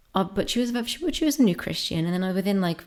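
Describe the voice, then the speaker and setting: Soft-spoken, a woman talks at a fairly quick pace. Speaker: ASMR creator. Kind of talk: soft-spoken discussion ramble.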